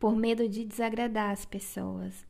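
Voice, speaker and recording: Her tone is dark and mellow, her pitch fairly high. The woman speaks at a fairly slow pace. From Brazil, Acre. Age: 20s. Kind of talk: casual devotional monologue.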